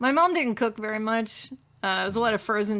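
Here is a woman with a plain, everyday voice and ordinary pitch variation. She talks at a fairly quick pace. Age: 40s. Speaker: toy collector and artist. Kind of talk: casual chat.

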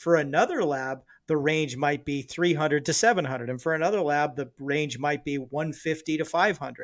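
In an ordinary speaking voice, a man talks at a fairly quick pace with hardly any pauses, his pitch fairly high with ordinary variation. The recording is very clean, with a silent background. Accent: American. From Southern California, then a small rural town. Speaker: military veteran and doctor. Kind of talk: casual chat.

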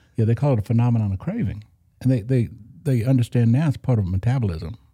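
Speaking at a very fast pace, a man uses a medium pitch and a dark, mellow, somewhat breathy tone with ordinary pitch variation. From Oklahoma. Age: 60s. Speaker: church guitarist and recovering alcoholic. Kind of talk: personal testimony interview.

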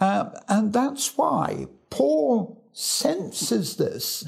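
This man speaks with an English accent and very wide pitch swings. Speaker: evangelist. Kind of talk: Bible teaching.

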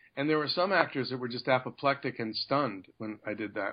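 A man with a Canadian accent talks at a fairly quick pace, his intonation lively. He has a plain, everyday voice. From Canada. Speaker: actor. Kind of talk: casual interview.

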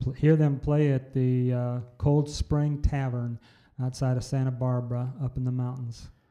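With a Midwestern US accent, a man talks at a moderate pace in a medium pitch, his intonation monotone and flat. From Iowa. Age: 70s. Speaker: blues musician and former pastor. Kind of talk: casual interview.

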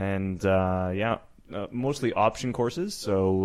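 With a Canadian accent and an unremarkable speaking voice, a man talks at a fairly slow pace in a fairly low pitch with fairly even intonation. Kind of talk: casual banter interview.

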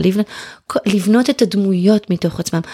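A woman speaks in a dark, mellow tone with ordinary pitch variation. The sound is dry and close with no echo, and the recording is very clean against a silent background. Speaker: writer and former homeschooling mother. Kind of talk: casual chat.

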